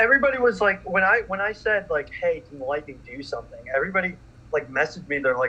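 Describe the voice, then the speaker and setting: Over noticeable background noise, a man speaks very fast in a raised, projected, high-pitched voice, with very wide pitch swings and big swings in loudness. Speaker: sports podcast co-host. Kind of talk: live stream reaction chat.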